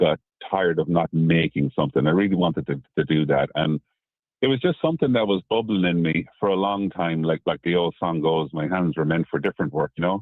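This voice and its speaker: Speaking fairly quickly, a man with an Irish accent has a very deep, low pitch. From Ireland, Midlands. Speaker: whiskey distiller. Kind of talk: radio interview. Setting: phone call. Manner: halting.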